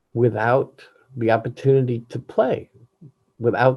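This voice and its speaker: A man speaks somewhat breathily, at a medium pitch and with ordinary pitch variation. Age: 70s. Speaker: jazz musician. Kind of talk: candid personal monologue.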